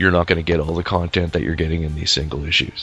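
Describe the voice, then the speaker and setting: The speech moves at a very fast pace with fairly even intonation. Noticeable background noise runs underneath. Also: man. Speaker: comic book podcast host. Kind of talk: casual chat.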